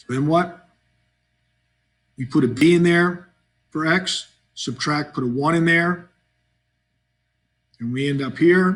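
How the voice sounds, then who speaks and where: A man's somewhat breathy voice with ordinary pitch variation, on a very clean recording with a silent background. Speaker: math teacher. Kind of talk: tutorial.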